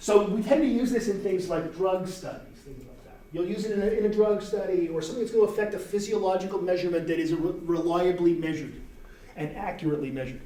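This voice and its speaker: A man talks at a very fast pace with a high pitch and big swings in loudness. Room echo and noticeable background noise can be heard. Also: ordinary pitch variation. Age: 60s. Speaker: university professor. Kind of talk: lecture. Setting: classroom with students. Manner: casual, conversational.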